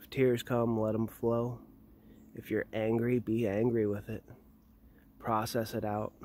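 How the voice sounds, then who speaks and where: Soft-spoken and dark, mellow in tone, a man talks at a fairly slow pace in a monotone, flat intonation, with long, frequent pauses, big swings in loudness, and a dry sound with no echo. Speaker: hypnotist guiding a meditation. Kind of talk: guided meditation, slow soothing hypnotic delivery. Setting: outdoors on a burial mound in Norway. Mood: calm, soothing. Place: open country. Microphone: phone near.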